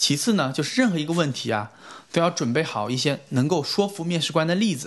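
A man with an unremarkable speaking voice talks fairly quickly with lively intonation. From China. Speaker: recent graduate sharing internship advice. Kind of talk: podcast interview.

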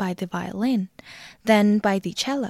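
An ordinary speaking voice from a woman, with ordinary pitch variation, in a dry, close sound with no echo and a very clean recording with a silent background. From Xinjiang, China. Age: 20s. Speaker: music student presenter. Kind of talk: scripted narration. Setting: home.

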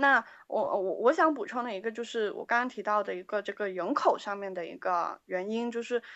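At a fairly quick pace and with hardly any pauses, a woman talks in a fairly high pitch with ordinary pitch variation. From Guangzhou, China. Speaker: band member, keyboardist. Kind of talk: interview. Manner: halting.

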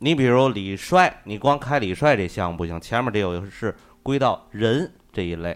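Male speech in a normal speaking voice, at a medium pitch and moderate pace, with lively intonation. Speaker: podcast co-host. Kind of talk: casual chat.

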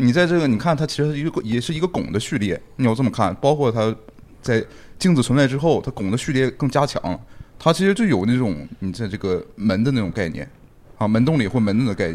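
At a fairly quick pace, a man speaks at medium pitch with very wide pitch swings. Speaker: architecture scholar. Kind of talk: casual chat. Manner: joking.

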